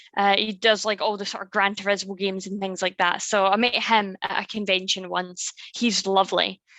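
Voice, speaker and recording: A woman with a Scottish accent talks at a fairly quick pace in a medium pitch. Her intonation is monotone and flat. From Scotland. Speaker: YouTuber, content creator. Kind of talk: casual chat.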